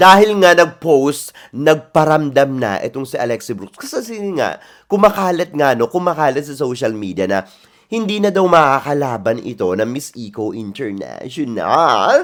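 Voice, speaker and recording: An animated man speaks at a moderate pace and fairly high pitch, with very wide pitch swings and big swings in loudness. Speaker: pageant commentary vlogger. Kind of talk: casual vlog commentary.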